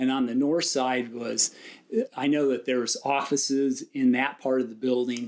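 A man with a Californian accent talks at a moderate pace and medium pitch with monotone, flat intonation. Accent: Californian American English. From Southern California, San Dimas. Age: 60s. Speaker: local historian, lifelong resident. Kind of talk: interview.

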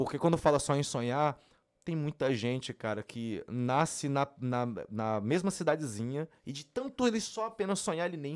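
Here is a man with an unremarkable speaking voice. He talks at a moderate pace with lively intonation. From Brasília, Brazil. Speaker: funk singer. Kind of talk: casual interview.

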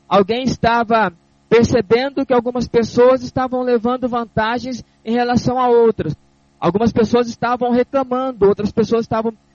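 This man speaks at an extremely high pitch. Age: 40s. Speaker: deacon and radio preacher. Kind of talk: sermon. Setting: studio.

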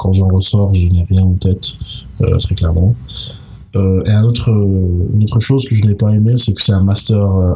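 A man speaks at a fairly slow pace with a fairly low pitch and fairly even intonation. His loudness stays very even over noticeable background noise. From mixed: Tunisia, Malta, United States. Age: 20s. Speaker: master's student. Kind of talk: interview. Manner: halting, many fillers.

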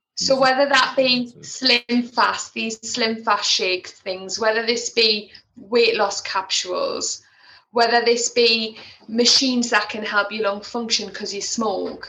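In a Geordie accent, the speaker talks at a fairly slow pace with monotone, flat intonation and big swings in loudness. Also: woman, fairly high pitch for a woman. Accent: Geordie (Tyneside English). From northern England, Tyneside (Wallsend). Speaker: respiratory physiotherapist and healthcare leader. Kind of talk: interview.

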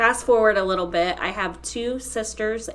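A woman with an American accent talks at a fairly slow pace amid audible room echo. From Ohio, Holmes County. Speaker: coworker sharing personal story. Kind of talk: testimony. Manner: emotional.

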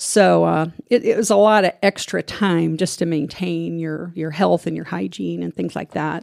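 This woman speaks with an American accent at a moderate pace with hardly any pauses, in a very clean recording with a silent background and a dry, close sound with no echo. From US Midwest, central Illinois. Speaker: retired army nurse and veteran. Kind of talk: interview conversation.

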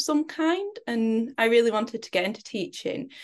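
There's a quiet background behind a woman with a Lancashire accent, fairly high in pitch, whose intonation is lively. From northern England (Preston, Lancashire). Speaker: performance mindset coach. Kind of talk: interview.

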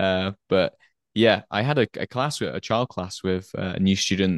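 Recorded with a dry, close sound with no echo and a quiet background, a man with an English accent speaks at a fairly low pitch. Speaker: English teacher and podcast co-host. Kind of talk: casual chat.

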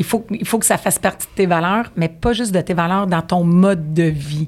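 A woman at a fairly low pitch and a moderate pace. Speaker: mortgage broker. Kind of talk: interview.

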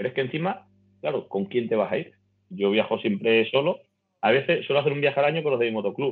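A man talks very fast in a fairly high pitch. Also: lively intonation. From Extremadura, Spain (Navalmoral de la Mata, Cáceres). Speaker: motorcycle traveler. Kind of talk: casual chat.

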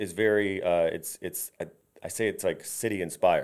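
A man with a normal speaking voice talks at a moderate pace in a fairly low pitch. His pitch varies in an ordinary way on a very clean recording with a silent background. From Tampa area, Florida (moved from Detroit area as a small child). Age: 40s. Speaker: architect and home builder. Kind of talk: casual interview chat.

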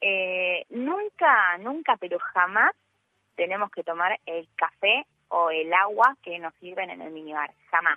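A woman speaks at a medium pitch and a very slow pace, with ordinary pitch variation. Her loudness swings widely. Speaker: radio columnist. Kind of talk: radio talk segment.

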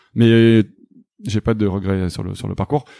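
A man speaks with a dark, mellow tone at a fairly low pitch and fairly even intonation. The recording is very clean with a silent background, the sound dry and close with no echo. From southwestern France. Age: 30s. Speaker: startup founder and CEO. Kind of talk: interview.

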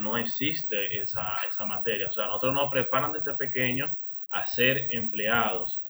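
Fairly slow male speech marked by fairly even intonation. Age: 30s. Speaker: entrepreneur. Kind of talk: interview. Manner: hesitant, many fillers.

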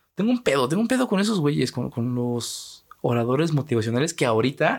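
A man with a Mexican accent, very wide pitch swings and a fairly quick pace. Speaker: podcast host. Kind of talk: casual monologue. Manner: animated.

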